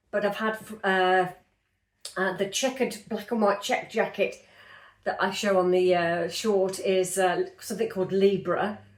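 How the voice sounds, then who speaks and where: Audible room echo around a woman's moderate pace and medium pitch. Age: 50s. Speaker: lifestyle vlogger. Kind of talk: casual chat. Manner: chatty, hesitant with many fillers.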